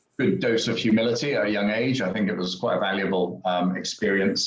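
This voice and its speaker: Very fast male speech in a room with audible echo. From UK. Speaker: entrepreneur and business investor. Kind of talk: podcast interview. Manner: hesitant, many fillers.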